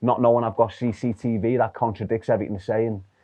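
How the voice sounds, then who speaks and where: A man with a Liverpool accent talks at a very fast pace in a medium pitch. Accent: Liverpool (Scouse). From Liverpool, England. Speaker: former gang member. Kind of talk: interview storytelling.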